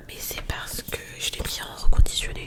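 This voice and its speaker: Clear background noise fills the recording. Over it, a female speaker whispers. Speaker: ASMR creator. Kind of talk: ASMR casual chat to camera. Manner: soft-spoken.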